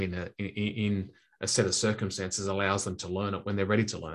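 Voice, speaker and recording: Against a quiet background, a man speaks with an Australian accent. His pitch is fairly low and his intonation monotone and flat. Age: 50s. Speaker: sales trainer. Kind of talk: interview. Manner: halting, frequent repetitions.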